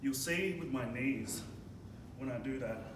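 There is noticeable background noise and audible room echo. Through it, a man talks at a moderate pace. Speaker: strength coach. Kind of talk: tutorial. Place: gym. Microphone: camera far.

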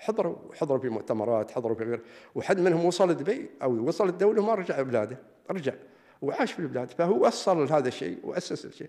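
The speaker has a dark, mellow tone and an Emirati accent, with very wide pitch swings. The pace is fairly quick against a quiet background. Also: man, fairly high pitch for a man. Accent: Emirati Gulf Arabic. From UAE. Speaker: religious affairs official; invited lecturer. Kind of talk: lecture. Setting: lecture hall with audience. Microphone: podium.

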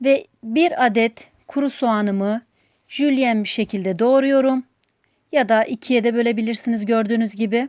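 A woman with a plain, everyday voice speaks at a moderate pace and very even loudness, her fairly high pitch showing ordinary variation. The sound is dry and close with no echo, over a quiet background. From Turkey, outside Istanbul. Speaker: cooking channel host. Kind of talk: cooking tutorial. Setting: home kitchen.

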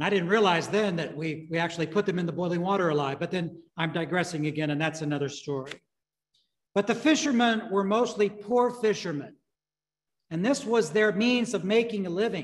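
A man speaks at a fairly quick pace and a high pitch, with ordinary pitch variation.

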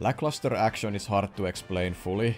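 A man's very deep, low voice at a moderate pace with fairly even intonation, music playing in the background. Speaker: video reviewer. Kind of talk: commentary.

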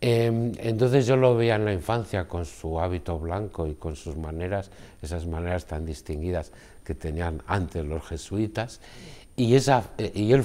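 A man's very deep, low voice, dark and mellow in tone, fairly slow, with lively intonation. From Basque Country, Spain (Guipúzcoa). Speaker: novelist and poet. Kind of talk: interview. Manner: halting. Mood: calm, reflective. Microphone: lapel.

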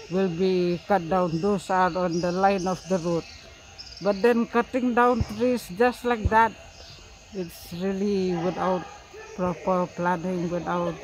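A man with a high pitch talks at a very slow pace with fairly even intonation. The sound is dry with no echo, over light background noise. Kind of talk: interview answer. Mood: sad, concerned. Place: street.

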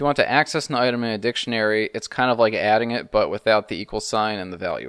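Against a quiet background, a man with a medium pitch talks at a very fast pace in a dry sound with no echo. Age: 30s. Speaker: programming tutorial youtuber. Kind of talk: tutorial. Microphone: studio mic.

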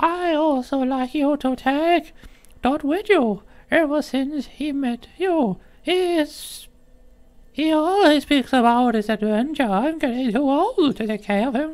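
A man puts on a character voice, pitched extremely high and delivered fairly slowly. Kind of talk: reading NPC dialogue aloud. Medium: game stream. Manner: gentle, homely. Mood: warm, fond.

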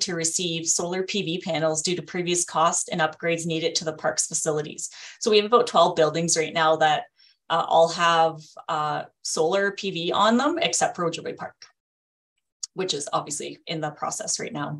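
At a moderate pace, a woman speaks with a fairly low pitch over a quiet background. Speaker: presenter. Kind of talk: meeting presentation. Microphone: video call.

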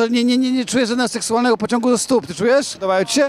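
Over crowd noise in the background, a man with an extremely high voice talks in an animated tone at a very fast pace, the sound dry with no echo. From Poland. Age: 40s. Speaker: YouTuber street interviewer. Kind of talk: street interviews. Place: street. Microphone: handheld.

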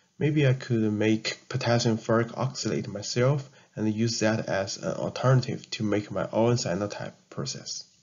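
A man with a Chinese accent and a medium pitch speaks at a moderate pace, with hardly any pauses. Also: ordinary pitch variation. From China. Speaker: chemistry student vlogger. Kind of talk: tutorial narration. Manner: halting.

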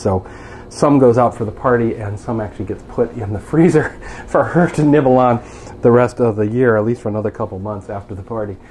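Light background noise sits behind a man. He talks at a fairly quick pace with ordinary pitch variation. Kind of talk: casual vlog chat. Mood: relaxed, chatty, some laughs. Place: kitchen.

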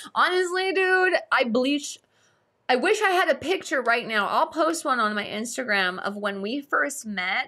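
In an American accent, a raised, projected voice with a bright, sharp, animated tone moves at a fairly slow pace through very wide pitch swings against a quiet background. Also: woman, high pitch for a woman. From Las Vegas, US West. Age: 30s. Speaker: YouTuber and livestream host; YouTuber, livestream host. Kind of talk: casual livestream chat. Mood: playful, amused. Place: home room.

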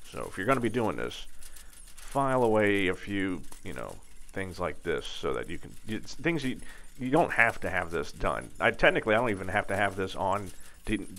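At a moderate pace and with long, frequent pauses, the voice has a bright, sharp tone and vocal fry. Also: man, fairly low pitch for a man. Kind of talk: tutorial. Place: workshop.

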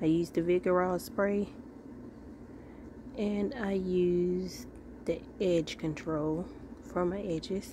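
A woman's fairly low voice with ordinary pitch variation, long and frequent pauses, dry sound with no echo, and noticeable background noise. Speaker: wig reviewer. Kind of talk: casual product review to camera. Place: home room. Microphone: phone near.

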